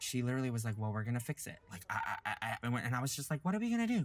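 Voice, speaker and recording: A man with an American accent talks at a very fast pace. His medium-pitched voice is somewhat breathy. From US South, Louisiana. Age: 30s. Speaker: drag performer and singer. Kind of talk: documentary interview. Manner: casual, filler-heavy.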